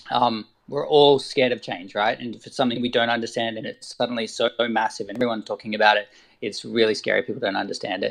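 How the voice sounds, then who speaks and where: With an Australian accent, a man talks very fast, his loudness swinging widely. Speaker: artist and photographer. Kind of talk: casual discussion.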